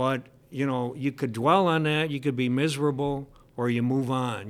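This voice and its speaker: A man speaks at a moderate pace with an American accent, his pitch medium for a man and ordinary in its variation. The recording is very clean, with a silent background. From US Midwest, Michigan. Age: 60s. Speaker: high school English teacher. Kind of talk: casual interview conversation. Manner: chatty, humorous.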